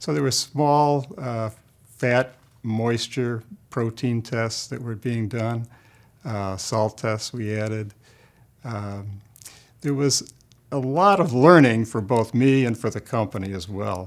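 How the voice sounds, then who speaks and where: Pausing long and often, a man talks at a very slow pace at a medium pitch with ordinary pitch variation. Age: 70s. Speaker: food scientist. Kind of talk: interview. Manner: halting.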